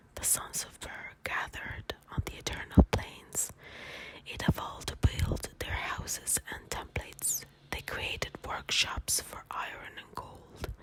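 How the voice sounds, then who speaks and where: A man whispering in a calm tone at a fairly slow pace, with big swings in loudness and noticeable background noise. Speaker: ASMR content creator. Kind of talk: soft-spoken ASMR bedtime story reading. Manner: soft-spoken, whispering, calm.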